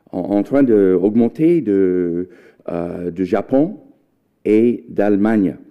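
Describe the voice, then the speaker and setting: With an American accent and lively intonation, the speaker goes at a very slow pace, taking long, frequent pauses. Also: man, fairly low pitch for a man. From United States. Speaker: history professor. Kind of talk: lecture. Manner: halting.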